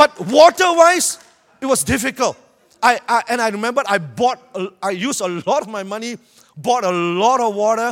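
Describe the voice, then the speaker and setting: A man with a Malaysian accent speaks at a moderate pace with a high pitch, an animated tone and lively intonation. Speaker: preacher. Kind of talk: sermon. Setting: church with audience. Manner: animated, humorous.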